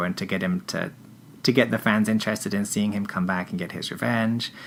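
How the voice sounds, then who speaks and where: A man with an English accent talks at a very fast pace. His pitch is fairly low, with ordinary variation. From England. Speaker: wrestling fan. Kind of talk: casual interview chat. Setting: podcast recording. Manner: halting, many false starts.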